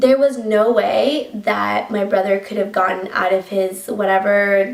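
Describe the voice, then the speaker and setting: Speaking at a very slow pace, a woman talks in a Colombian accent. Her voice is medium-pitched with fairly even intonation. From Colombia, Bogota. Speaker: YouTuber. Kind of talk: story time vlog. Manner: casual, filler-heavy.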